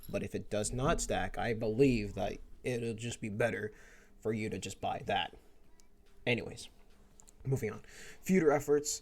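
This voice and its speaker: A man mumbles at a moderate pace. His speech has long, frequent pauses. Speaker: gaming youtuber. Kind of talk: gameplay commentary. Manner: mumbling; stuttering.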